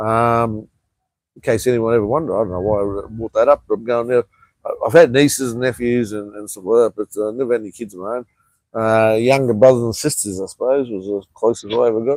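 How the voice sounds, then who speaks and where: In an Australian accent, a man with a medium pitch talks at a very fast pace with fairly even intonation and big swings in loudness, in a dry, close sound with no echo on a very clean recording with a silent background. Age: 50s. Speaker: vlogger. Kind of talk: casual chat.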